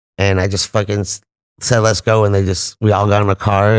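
A man with an American accent talks very fast at a fairly low pitch in a monotone, flat intonation. The sound is dry and close, with no echo. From US West Coast, Los Angeles San Fernando Valley. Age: 40s. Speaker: cannabis event host. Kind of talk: casual chat. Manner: loud.

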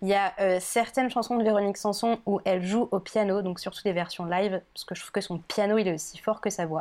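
In a very clean recording with a silent background, a woman speaks in an unremarkable speaking voice at medium pitch. Her pace is fairly quick and her intonation fairly even. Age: 20s. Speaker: podcast guest. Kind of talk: casual chat.

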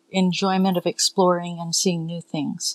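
A woman's normal speaking voice, medium in pitch and at a moderate pace, in a dry, close sound with no echo and a quiet background. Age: 60s. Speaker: healthcare worker, sailor. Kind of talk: casual chat.

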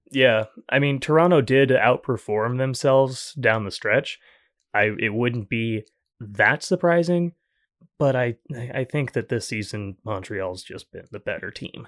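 An ordinary speaking voice from a man, medium in pitch, at a fairly slow pace with ordinary pitch variation, on a very clean recording with a silent background. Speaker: podcast producer. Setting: studio.

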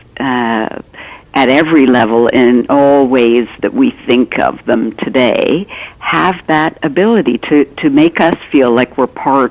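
Noticeable background noise accompanies a woman with a Canadian accent. Her pitch is very deep and low, her pace fairly slow. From Canada. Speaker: author. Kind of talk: interview conversation. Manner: halting, many fillers.

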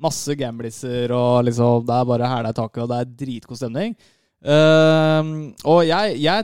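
A man with a normal speaking voice talks at a fairly slow pace with ordinary pitch variation, in a dry, close sound with no echo. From Norway, Lørenskog (east of Oslo). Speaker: podcast co-host. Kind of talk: casual chat.

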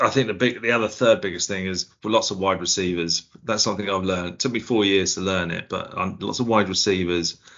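A man with an Essex accent talks at a fairly low pitch, his intonation fairly even. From Essex, England. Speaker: IT worker, fantasy league manager. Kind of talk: casual chat. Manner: halting.

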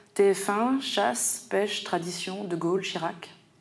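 A woman at a medium pitch and fairly slow pace, with noticeable background noise. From Paris suburbs, France. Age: 40s. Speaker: poet. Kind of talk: literary presentation.

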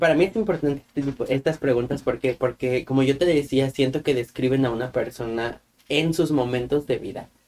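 A man's fairly high voice in a central Mexican accent, with ordinary pitch variation and hardly any pauses. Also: moderate pace. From Mexico, Guanajuato. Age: 20s. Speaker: podcast co-host. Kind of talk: casual chat.

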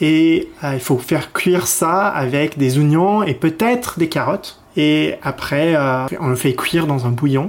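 A man with a fairly high-pitched voice speaks at a very slow pace. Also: ordinary pitch variation. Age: 30s. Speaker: expat guest sharing home cuisine. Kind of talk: casual interview. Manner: halting, many fillers.

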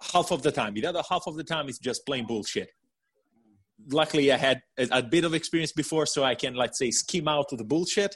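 The speaker talks at a fairly quick pace with ordinary pitch variation, in an Italian accent. The background is quiet. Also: man, fairly high pitch for a man. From Italy. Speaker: coaching client. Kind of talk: interview testimony. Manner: halting.

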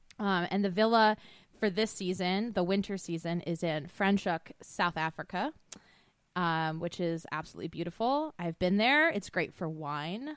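The recording is very clean with a silent background. A woman with an American accent uses a normal speaking voice at a moderate pace and medium pitch, with lively intonation. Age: 30s. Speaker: podcast co-host. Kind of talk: casual chat.

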